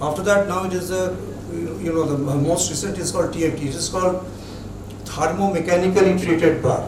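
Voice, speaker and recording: Amid audible room echo and noticeable background noise, a man speaks with ordinary pitch variation. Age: 70s. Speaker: metallurgy specialist. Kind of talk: lecture. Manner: halting.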